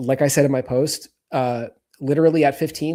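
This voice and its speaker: Speaking at a fairly quick pace with an American accent, a man has a dark, mellow tone, captured in a very clean recording with a silent background. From US South (Atlanta, Georgia), later Israel. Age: 30s. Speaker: podcast guest, creator. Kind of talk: casual interview chat. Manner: halting, many repeated words.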